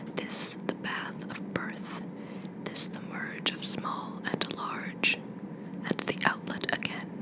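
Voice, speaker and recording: Noticeable background noise accompanies whispering delivered at a very slow pace. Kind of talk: ASMR poetry reading. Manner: whispered.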